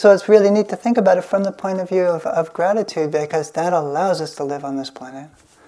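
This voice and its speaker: A woman at a fairly low pitch and a very fast pace, hardly any pauses, ordinary pitch variation and big swings in loudness, amid noticeable background noise. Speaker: meditation teacher. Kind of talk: dharma talk with guided meditation. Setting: hall with microphone and audience. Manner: halting, with hesitations.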